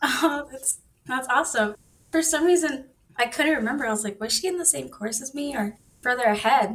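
A woman with an American accent, a high pitch, ordinary pitch variation, and a fairly quick pace. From Texas. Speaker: online coding student. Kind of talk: casual interview.

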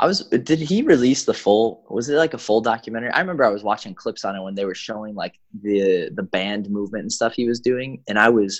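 A man with a Chicago accent, medium pitch, ordinary pitch variation, and a very fast pace. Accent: Chicago American. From US Midwest, Chicago. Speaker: professional soccer player. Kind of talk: casual interview.

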